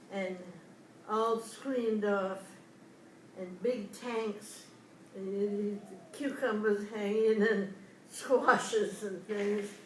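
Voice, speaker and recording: The speech is very slow and flat, a monotone broken by long, frequent pauses. Noticeable background noise runs underneath. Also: woman, medium pitch for a woman. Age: 80s+. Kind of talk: interview answer. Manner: hesitant.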